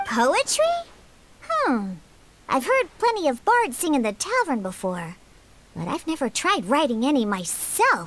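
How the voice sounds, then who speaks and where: A woman's high-pitched, put-on character voice, with very wide pitch swings and a fairly slow pace. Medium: video game. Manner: blunt, tsundere.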